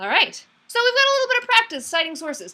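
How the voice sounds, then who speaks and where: Her tone bright and sharp, a woman is talking. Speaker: public speaking instructor. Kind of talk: online class lecture. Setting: online video meeting. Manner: conversational, occasionally stuttering.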